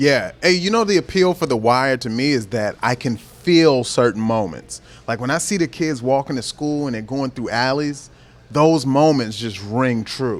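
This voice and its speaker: A man with a slight Baltimore accent talks at a medium pitch with lively intonation. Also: moderate pace. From Baltimore, US East Coast. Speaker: comedian. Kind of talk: casual chat.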